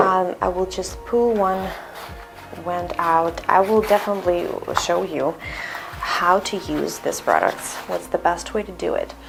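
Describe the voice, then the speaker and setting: Noticeable background noise surrounds a woman speaking. She has a Russian accent and a very slow pace. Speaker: skincare instructor. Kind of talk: tutorial. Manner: halting.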